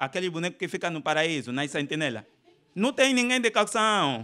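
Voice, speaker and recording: A man speaks in a raised, projected voice, his high pitch making very wide swings. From Angola. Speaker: stand-up comedian. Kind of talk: stand-up comedy routine riffing on religion before a live audience. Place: hall. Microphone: handheld.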